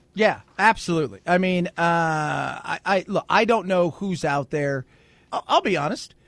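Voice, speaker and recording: Speaking fairly slowly, a man uses a high pitch with ordinary pitch variation. The sound is dry and close with no echo, over a quiet background. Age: 40s. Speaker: radio host. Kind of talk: casual chat.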